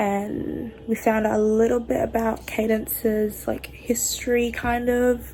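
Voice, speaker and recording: This woman has an Australian accent. She talks with hardly any pauses. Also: fairly slow pace. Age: 20s. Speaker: book vlogger. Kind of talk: casual vlog chat.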